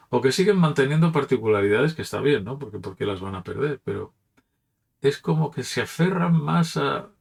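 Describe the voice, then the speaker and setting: Using very wide pitch swings and big swings in loudness, a man speaks at medium pitch and a moderate pace, with vocal fry. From Catalonia, Barcelona. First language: Catalan (speaking Spanish). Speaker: pastor. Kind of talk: reflective talk. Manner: casual, with hesitations.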